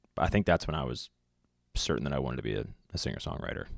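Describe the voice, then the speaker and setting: A man with an American accent talks very fast, with vocal fry. The sound is dry and close with no echo, on a very clean recording with a silent background. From Virginia (Virginia Beach). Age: 20s. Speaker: singer-songwriter. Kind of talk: podcast interview. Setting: studio.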